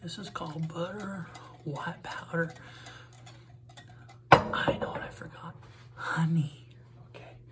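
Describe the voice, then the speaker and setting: Against loud background noise, a man talks at a very slow pace. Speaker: comedy video maker. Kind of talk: comedic cooking video talk to camera. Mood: deadpan, joking. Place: kitchen. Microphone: phone near.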